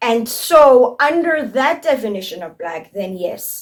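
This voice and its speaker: A woman talks at a very slow pace, her pitch moving in very wide swings. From South Africa. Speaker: YouTuber commentator. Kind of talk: opinion commentary vlog.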